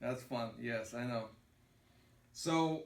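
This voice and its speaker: A man speaks at a very slow pace in a Russian accent. Audible room echo surrounds his voice. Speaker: pastor. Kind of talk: lecture. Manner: halting.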